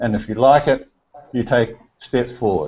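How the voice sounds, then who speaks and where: This is a man's voice. He speaks with a New Zealand accent. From New Zealand (Auckland). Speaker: amateur photographer. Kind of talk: casual chat. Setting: video call. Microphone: video call.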